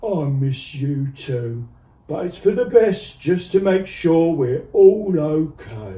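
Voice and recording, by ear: A man puts on a character voice at a fairly high pitch. He speaks at a very slow pace.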